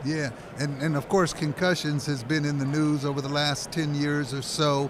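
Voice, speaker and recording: With noticeable background noise and audible room echo, a man speaks at a moderate pace in a fairly high, monotone voice with flat intonation. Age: 60s. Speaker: sports talk host. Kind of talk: interview. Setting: radio row broadcast booth.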